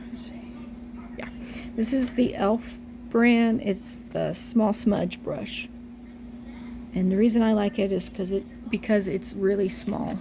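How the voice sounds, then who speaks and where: Her tone dark and mellow with vocal fry, a woman speaks fairly slowly with fairly even intonation but big swings in loudness. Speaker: reborn doll artist tutorial maker. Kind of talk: tutorial. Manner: casual, chatty with fillers.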